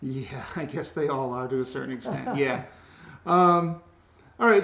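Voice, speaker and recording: A man speaks at a moderate pace. Noticeable background noise runs beneath his voice. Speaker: sociology teacher. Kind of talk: interview questions.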